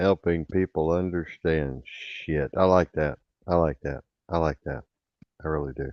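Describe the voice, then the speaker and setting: At a fairly slow pace, a man with an American accent speaks in a very deep, low pitch. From rural US farm country. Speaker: internet radio host. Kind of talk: casual chat. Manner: animated.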